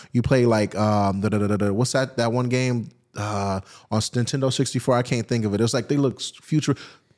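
A man talks in an animated tone at a medium pitch and moderate pace, with very even loudness, in a very clean recording with a silent background. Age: 30s. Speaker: car content creator and drifter. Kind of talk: casual chat. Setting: outdoors.

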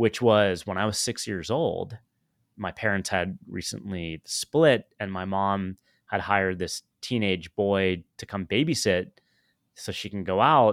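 Recorded very cleanly against a silent background with a dry, close sound and no echo, a man with an unremarkable speaking voice talks at a fairly slow pace and fairly low pitch, with ordinary pitch variation. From US West Coast. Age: 50s. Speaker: podcaster and tech entrepreneur. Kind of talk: personal story interview.

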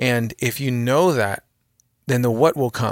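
Here a man speaks at a medium pitch. The recording is very clean, with a silent background. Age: 30s. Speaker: creative agency owner, designer. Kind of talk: casual chat. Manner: halting.

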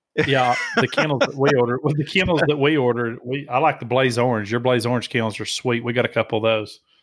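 A man with a Southern US accent, medium pitch, very fast pace, hardly any pauses and fairly even intonation. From Tennessee, US South. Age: 40s. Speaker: outdoor podcast host. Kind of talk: casual chat.

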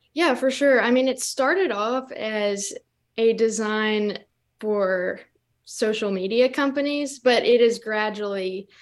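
In an American accent, a woman with a plain, everyday voice speaks fairly slowly at a fairly high pitch with ordinary pitch variation. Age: young. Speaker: student. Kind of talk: interview. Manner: laughs often.

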